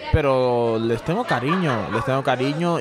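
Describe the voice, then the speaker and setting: A man's voice comes with audible room echo and crowd noise in the background. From Bangladesh. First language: Bengali (speaking Spanish). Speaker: immigrant sharing life story. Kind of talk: casual interview. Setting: bar.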